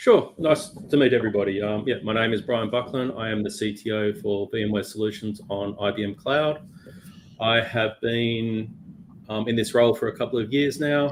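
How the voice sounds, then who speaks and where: A man speaks at a moderate pace in a medium pitch. His intonation stays fairly even. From Australia, Melbourne. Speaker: cloud technology executive. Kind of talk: casual interview.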